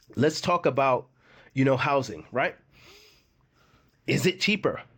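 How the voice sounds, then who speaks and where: A man with a slight Jamaican accent speaks with vocal fry in a very clean recording with a silent background. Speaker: expat YouTuber. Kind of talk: casual vlog talk. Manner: conversational, repetitive with many fillers.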